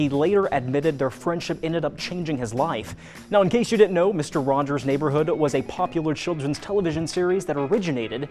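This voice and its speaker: A man talks at a very fast pace with hardly any pauses, his tone upbeat. Music plays in the background. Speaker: news anchor. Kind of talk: casual ad-lib banter.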